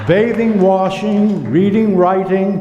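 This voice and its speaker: Noticeable background noise accompanies a man with a high pitch. He speaks at a very slow pace. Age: 80s+. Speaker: comedian. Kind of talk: reading aloud from his book.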